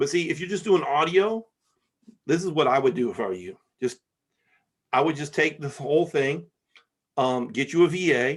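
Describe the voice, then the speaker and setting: A fairly high-pitched man with an American accent and vocal fry, with long, frequent pauses. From Michigan, US Midwest. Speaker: podcast host. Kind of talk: casual chat. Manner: fast.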